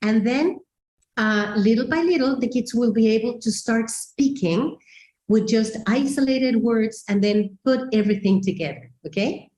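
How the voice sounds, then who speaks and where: A woman speaks with lively intonation at a fairly high pitch, her somewhat breathy voice carrying a dark, mellow tone. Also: moderate pace. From Mexico. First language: Spanish. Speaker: teacher trainer. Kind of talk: webinar presentation. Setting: online webinar.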